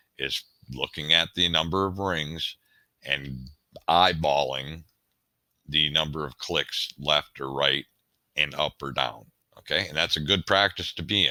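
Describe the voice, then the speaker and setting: A man with a very deep, low pitch, vocal fry, and a bright, sharp tone speaks at a fairly slow pace with fairly even intonation and long, frequent pauses, in a dry, close sound with no echo. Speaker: shooting instructor. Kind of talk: tutorial.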